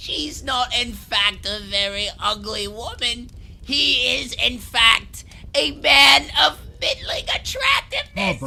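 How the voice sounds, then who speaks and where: A put-on character voice talks at a fairly slow pace in a fairly high pitch. Clear background noise runs underneath. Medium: audio drama. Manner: laughing between words, stammering.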